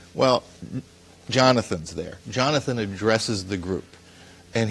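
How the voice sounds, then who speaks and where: A man with a fairly low voice talks while noticeable background noise plays behind him. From US Northeast, Paterson, New Jersey. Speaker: news editor. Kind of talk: interview.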